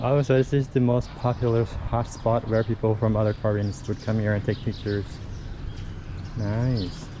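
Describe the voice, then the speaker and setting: A man with a Lao accent speaks at a moderate pace in a medium pitch, his dark, mellow tone flat and monotone with very even loudness. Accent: Luang Prabang Lao accent, praised locally. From Laos, Luang Prabang. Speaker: travel vlogger. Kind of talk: travel vlog narration. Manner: casual, hesitant.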